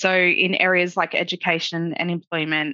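In a quiet background, a woman with an Australian accent speaks in a bright, sharp tone at a fairly low pitch. Her intonation stays fairly even, and the sound is dry and close with no echo. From Lismore, Northern Rivers, New South Wales. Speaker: project officer and student. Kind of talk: webinar interview. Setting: video call.

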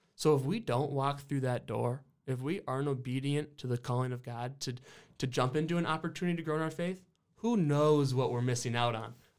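Heard on a very clean recording with a silent background, a man with an American accent talks at a fairly quick pace in a plain, everyday voice, fairly high-pitched with ordinary variation. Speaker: college basketball player. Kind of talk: casual chat.

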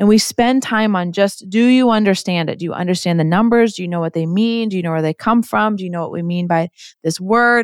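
A woman with an ordinary speaking voice talks fairly quickly with ordinary pitch variation, on a very clean recording with a silent background and a dry, close sound with no echo. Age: 40s. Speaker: agency CEO. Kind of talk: interview.

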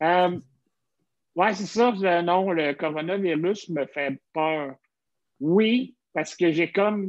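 A man speaks very slowly at a high pitch, with ordinary pitch variation. The background is quiet. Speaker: podcast host, comedian. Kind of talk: casual chat. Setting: video call.

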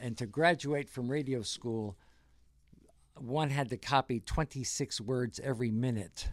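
Here is a man with an American accent and a plain, everyday voice. He talks at a fairly slow pace with ordinary pitch variation. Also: medium pitch for a man, very clean recording, silent background. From rural New Jersey. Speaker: navy veteran and museum volunteer. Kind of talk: interview.

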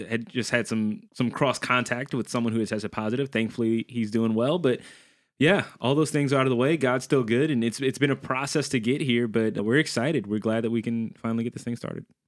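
Speaking in an unremarkable speaking voice with an American accent, a man talks at a fairly quick pace and medium pitch, with ordinary pitch variation and hardly any pauses, on a very clean recording with a silent background. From US South, New Orleans, Louisiana. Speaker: youth pastor, podcast co-host. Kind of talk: casual chat. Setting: studio.

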